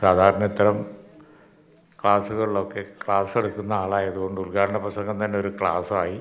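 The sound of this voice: Fairly low-pitched man at a moderate pace, with little pitch movement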